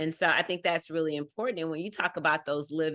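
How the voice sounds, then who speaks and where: A woman with a Texas accent speaks at a fairly low pitch against a quiet background. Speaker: fundraising professional. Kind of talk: casual interview chat.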